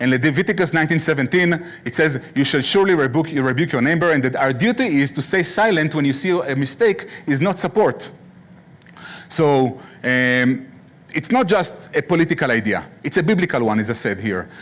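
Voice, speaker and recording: A fairly high-pitched man's voice at a fairly quick pace with lively intonation. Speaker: guest lecturer. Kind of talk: lecture. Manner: fast.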